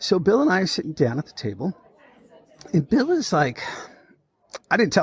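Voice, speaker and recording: A man talks very fast with a Boston accent, his pitch swinging very widely. The sound is dry and close, with no echo. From Massachusetts (Lawrence). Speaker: podcast host. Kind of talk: casual interview chat. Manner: animated.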